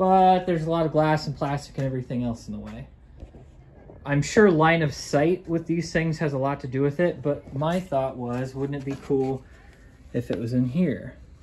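Somewhat breathy, a man talks at a moderate pace over light background noise. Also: ordinary pitch variation. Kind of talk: casual DIY commentary. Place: garage. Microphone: phone near.

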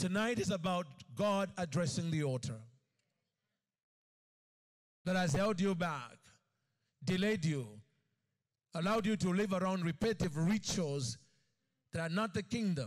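Against a quiet background, a man speaks at a moderate pace, broken by long, frequent pauses. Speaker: preacher. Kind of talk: sermon. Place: stage. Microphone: handheld.

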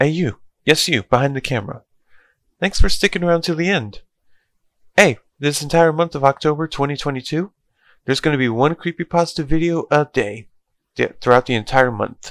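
At a fairly quick pace, a man speaks with ordinary pitch variation in a dry sound with no echo against a quiet background. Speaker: creepypasta youtuber. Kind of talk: casual vlog chat. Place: home room. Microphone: headset.

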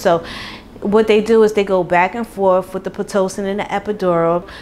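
A woman speaks at a moderate pace. Faint music sits in the background. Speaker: pregnant vlogger. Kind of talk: casual vlog chat. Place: kitchen. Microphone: lapel.

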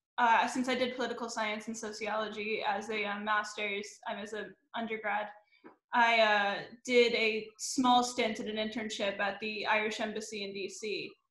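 With audible room echo, a woman with an American accent speaks at a medium pitch in a fairly bright tone with little pitch movement. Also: moderate pace.

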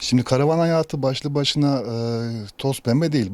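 On a very clean recording with a silent background, a man talks at a fairly quick pace in a dark, mellow tone with lively intonation. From Kayseri, central Anatolia, Turkey. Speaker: hairdresser living in a converted bus. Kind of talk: interview. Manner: hesitant, many filler sounds.

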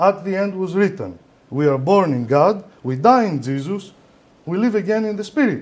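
With a Greek accent, a man talks at a moderate pace in a high pitch with lively intonation. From Greece. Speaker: lecturer on esoteric philosophy. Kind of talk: lecture. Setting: lecture hall with audience. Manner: halting, hesitant. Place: hall.

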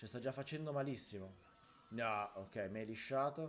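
Faint music plays behind a man who talks at a fairly slow pace. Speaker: gaming creator. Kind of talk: gameplay commentary. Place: home room.

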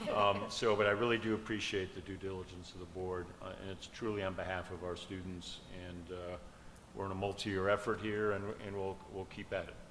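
Audible room echo surrounds a man's very deep, low voice. He talks at a fairly quick pace in a monotone, flat way. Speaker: school superintendent. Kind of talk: public board meeting. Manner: passionate, can sound intense.

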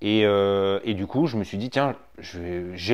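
This man has an ordinary speaking voice with a fairly low pitch and ordinary pitch variation. The background is quiet. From Africa. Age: 30s. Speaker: terrarium company co-owner. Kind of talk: casual interview. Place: home room.

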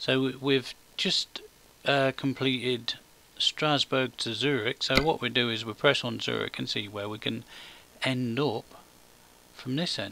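A man with a British accent speaks at a medium pitch and a fairly slow pace, his intonation fairly even, with long pauses coming often. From Britain. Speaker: gaming YouTuber. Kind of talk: gameplay commentary. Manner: rambling with many fillers.

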